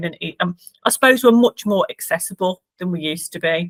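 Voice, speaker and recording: With a Birmingham accent, a woman speaks at a medium pitch with ordinary pitch variation. Her pace is fairly quick. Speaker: charity worker. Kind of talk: client testimonial interview. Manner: hesitant, many fillers.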